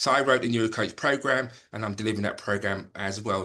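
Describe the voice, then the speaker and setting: With a quiet background behind him, a man speaks at medium pitch in a bright, sharp tone. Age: 60s. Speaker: former head teacher and voice coach. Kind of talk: casual chat. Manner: hesitant, repeats words.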